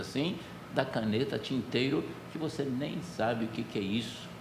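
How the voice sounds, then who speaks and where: The speaker goes at a moderate pace with ordinary pitch variation. Noticeable background noise and audible room echo fill the recording. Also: man. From Brazil, rural interior. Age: 70s. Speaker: pastor. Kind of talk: sermon. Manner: conversational, storytelling.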